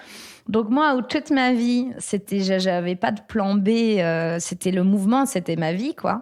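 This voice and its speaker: A woman speaks very slowly at a medium pitch with hardly any pauses. The background is quiet. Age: 30s. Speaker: former dancer, fitness coach. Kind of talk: interview, personal story. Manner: halting, many hesitations.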